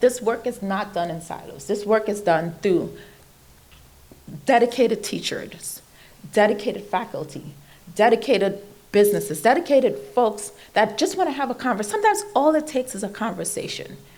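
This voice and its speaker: At a fairly quick pace and fairly high pitch, a woman with a Trinidadian accent speaks with lively intonation. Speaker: invited speaker on computer science education. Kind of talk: speech to an audience.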